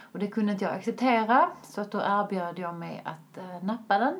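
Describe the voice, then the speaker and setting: This woman has an unremarkable speaking voice and a moderate pace. Her pitch varies in an ordinary way. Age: 30s. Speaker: vegan lifestyle influencer. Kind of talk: casual interview.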